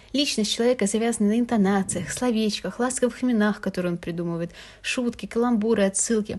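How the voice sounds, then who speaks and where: A somewhat breathy voice at a moderate pace, with ordinary pitch variation over a quiet background. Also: woman. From Russia, Moscow. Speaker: podcast host, university student. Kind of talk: personal monologue podcast.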